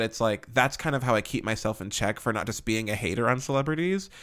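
On a very clean recording with a silent background, a man of medium pitch talks at a very fast pace. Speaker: solo podcast host. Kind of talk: casual monologue. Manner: animated.

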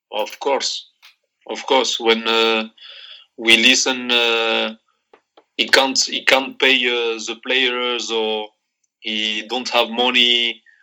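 A man's medium-pitched, bright and sharp voice with a strong Moroccan accent, monotone and flat, at a very slow pace with long, frequent pauses. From Morocco. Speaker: football coach, former player. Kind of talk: interview. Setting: remote call.

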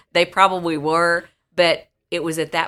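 In a very clean recording with a silent background, a woman with an American accent talks in a bright, sharp tone. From rural southwest Missouri, Dallas County. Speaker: state senator. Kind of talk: casual interview. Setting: senator's office.

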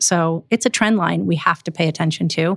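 A woman speaks at a fairly quick pace with ordinary pitch variation. The recording is very clean, with a silent background. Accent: American. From Milwaukee, Wisconsin. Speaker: public servant and business owner. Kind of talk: podcast interview.

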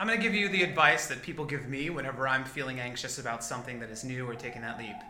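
Over noticeable background noise, a man with an American accent talks at a very fast pace. His pitch shifts in an ordinary way. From Rio Grande Valley, Texas. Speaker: actor and singer. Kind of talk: casual interview chat.

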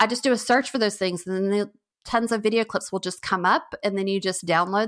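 Speaking at a fairly quick pace with a medium pitch, a woman uses an ordinary speaking voice on a very clean recording with a silent background. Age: 40s. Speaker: novelist and book trailer creator. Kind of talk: interview. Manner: casual, many fillers and restarts.

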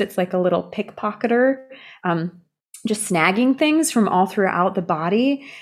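A woman with a medium pitch speaks at a fairly slow pace, her intonation lively. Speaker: yoga teacher. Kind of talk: casual interview. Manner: animated.

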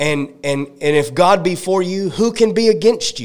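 A man's animated tone with lively intonation. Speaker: evangelist. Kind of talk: sermon. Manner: call-and-response, fervent.

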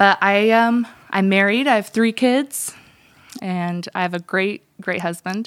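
A woman speaks in an unremarkable speaking voice at medium pitch, with ordinary pitch variation. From US, Russian immigrant family. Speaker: church staff member. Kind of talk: casual chat.

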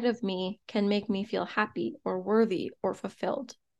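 A woman speaks at a medium pitch with fairly even intonation against a quiet background, in a plain, everyday voice. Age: 30s. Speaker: podcast host, entrepreneur. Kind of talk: solo podcast monologue, motivational.

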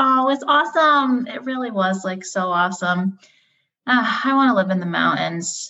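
A woman's fairly high-pitched voice carries a bright, sharp tone and lively intonation. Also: moderate pace. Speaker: podcast co-host. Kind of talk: casual chat.

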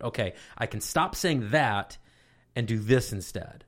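A man speaks in a normal speaking voice with ordinary pitch variation, captured in a very clean recording against a silent background. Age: 30s. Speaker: college radio station advisor, former radio DJ. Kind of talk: casual interview chat.

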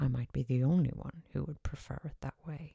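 A woman's dark, mellow, somewhat breathy voice with an Irish accent and ordinary pitch variation, in a dry, close sound with no echo. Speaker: podcast host. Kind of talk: monologue.

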